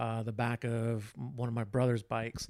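A man with an American accent and an unremarkable speaking voice, at a fairly slow pace. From Texas. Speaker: photographer and former TV news director. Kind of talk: casual chat.

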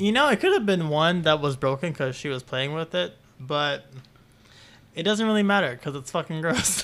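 Noticeable background noise sits behind a man's fairly high voice. He talks at a fairly quick pace with lively intonation. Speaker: podcast co-host. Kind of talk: casual chat. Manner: quieter than co-host.

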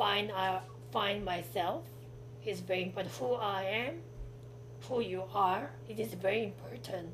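Noticeable background noise sits under this recording. The delivery is fairly slow, broken by long, frequent pauses. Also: woman. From South Korea. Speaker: guest, artist and student. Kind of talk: casual interview chat.

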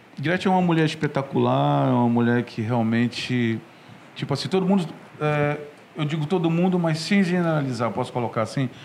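This ordinary speaking voice moves along at a fairly quick speed, with ordinary pitch variation. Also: man, fairly high pitch for a man. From Pará, northern Brazil. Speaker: saxophonist and firefighter. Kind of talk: interview.

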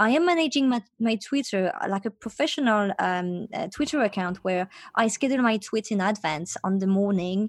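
Speaking with a French accent, a woman uses lively intonation at a medium pitch and a moderate pace with hardly any pauses, on a very clean recording with a silent background and a dry, close sound with no echo. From France, Paris. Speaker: startup founder. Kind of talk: interview. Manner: halting.

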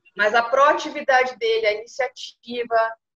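Moderate pace, with a dry, close sound and no echo. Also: woman. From southern Brazil, Pelotas (Rio Grande do Sul). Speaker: food quality coordinator. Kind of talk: interview.

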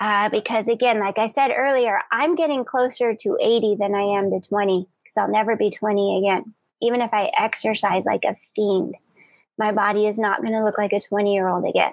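A woman's normal speaking voice, fairly high in pitch, with very even loudness, fairly even intonation and a moderate pace. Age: 40s. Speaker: podcast host and yoga teacher. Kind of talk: live broadcast talk. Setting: live video stream.

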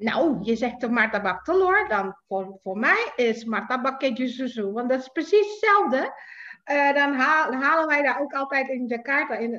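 A woman's raised, projected, high-pitched voice at a fairly slow pace, with very wide pitch swings. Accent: Indonesian. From Indonesia, Jakarta. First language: Indonesian (speaking Dutch). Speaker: writer. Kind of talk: casual chat.

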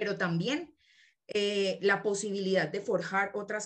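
A woman at medium pitch with a Colombian accent, at a moderate pace. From southern Colombia. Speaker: teacher and agroecology researcher. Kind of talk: casual interview chat.

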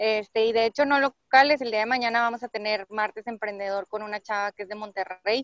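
With hardly any pauses, a woman speaks at a fairly quick pace and fairly high pitch, her intonation fairly even. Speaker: podcaster and entrepreneurship coach. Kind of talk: casual interview chat.

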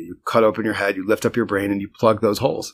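A man speaks with an American accent. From New Jersey. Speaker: marketing executive. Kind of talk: interview. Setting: office.

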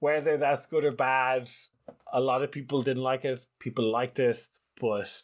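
Speaking with an Irish accent, a man keeps a medium pitch, fairly even intonation and a moderate pace on a very clean recording with a silent background. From Ireland. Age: 30s. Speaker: ultimate frisbee commentator. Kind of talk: casual interview.

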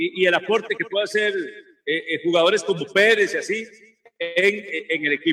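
Pausing long and often, a man with a high pitch speaks at a fairly quick pace and ordinary pitch variation. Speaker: football pundit. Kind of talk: casual chat. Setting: remote broadcast from a sports bar restaurant.

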